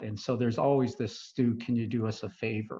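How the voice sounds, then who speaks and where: With an American accent, a man speaks at a medium pitch and a fairly quick pace, somewhat breathy, in a monotone, flat intonation, against a quiet background. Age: 60s. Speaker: retired foreign service medical officer and guest speaker. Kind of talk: talk to a club audience. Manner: hesitant with fillers and restarts.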